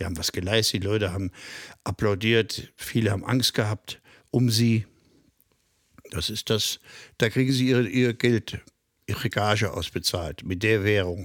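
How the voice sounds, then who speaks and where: This man's speech has long, frequent pauses, captured in a very clean recording with a silent background. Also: fairly low pitch for a man, fairly even intonation, moderate pace, dry, close sound with no echo. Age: 60s. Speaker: high-wire artist. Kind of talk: interview. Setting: on location at his home.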